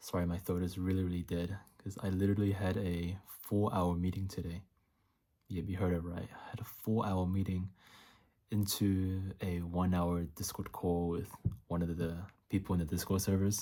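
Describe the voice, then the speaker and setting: A man talks at a moderate pace. His very deep, low voice stays monotone and flat. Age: 20s. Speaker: YouTuber documenting dropshipping. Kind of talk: vlog. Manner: casual, halting.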